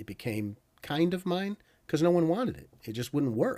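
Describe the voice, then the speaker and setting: A man talks in a normal speaking voice. His intonation is lively, and his pace moderate. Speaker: mechanical engineer and airgun content creator. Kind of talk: interview.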